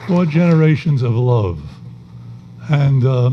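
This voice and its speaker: A man with an American accent and ordinary pitch variation, amid noticeable background noise and audible room echo. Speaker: retired judge and former politician. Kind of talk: on-stage interview at an awards event. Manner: halting.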